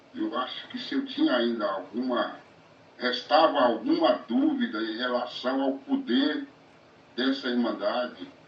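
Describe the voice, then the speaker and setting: Noticeable background noise and audible room echo surround a man speaking at a fairly slow pace. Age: 60s. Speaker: recovering gambler, support group volunteer. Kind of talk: testimony. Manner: halting.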